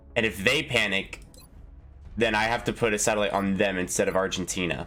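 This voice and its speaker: A man speaks at a fairly quick pace with a fairly low pitch. His loudness stays very even over music in the background. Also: ordinary pitch variation. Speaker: gaming youtuber. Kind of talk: let's play commentary. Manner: casual, thinking aloud.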